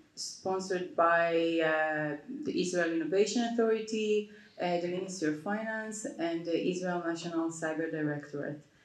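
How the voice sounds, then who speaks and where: A woman's voice with ordinary pitch variation and audible room echo. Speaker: panelist. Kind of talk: panel discussion answer. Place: stage. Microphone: handheld.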